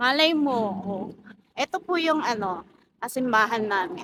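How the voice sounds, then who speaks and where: Here a woman is talking. Her delivery is fairly slow. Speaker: vlogger. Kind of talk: casual vlog chat. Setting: outdoors walking at night. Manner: soft-spoken.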